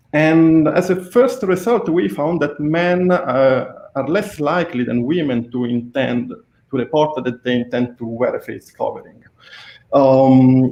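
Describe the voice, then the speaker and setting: A man with an Italian accent, fairly high-pitched, speaking at a fairly slow pace. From Italy. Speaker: researcher. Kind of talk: interview.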